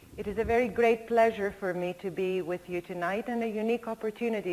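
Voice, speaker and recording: Speaking at a moderate pace, a woman with a Greek accent uses a medium pitch and fairly even intonation. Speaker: linguistics professor. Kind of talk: lecture.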